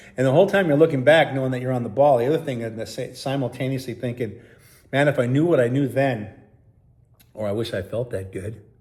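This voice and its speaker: A very fast-talking man with a medium pitch, somewhat breathy delivery, and ordinary pitch variation. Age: 60s. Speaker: sobriety vlogger. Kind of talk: casual vlog monologue.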